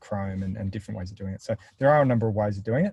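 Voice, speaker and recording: A man's fairly low, somewhat breathy voice has a dark, mellow tone. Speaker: software product presenter. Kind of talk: webinar Q&A. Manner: mumbling.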